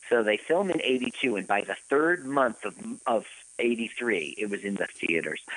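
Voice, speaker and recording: A man with an American accent talks fairly slowly at a medium pitch, his pitch swinging very widely. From US East Coast. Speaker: podcast co-host. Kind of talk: casual chat. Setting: live radio broadcast.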